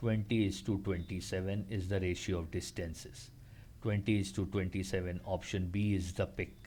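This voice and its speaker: Speaking at a moderate pace, a man with a very deep, low pitch and a dark, mellow tone sounds somewhat breathy, his intonation fairly even. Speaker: maths aptitude tutor. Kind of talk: tutorial.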